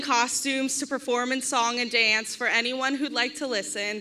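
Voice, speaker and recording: A woman's raised, projected voice, high in pitch with ordinary pitch variation, at a fairly slow pace, with audible room echo and noticeable background noise. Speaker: bride's sister giving a toast. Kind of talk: wedding toast speech. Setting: wedding reception with audience, microphone. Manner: loud.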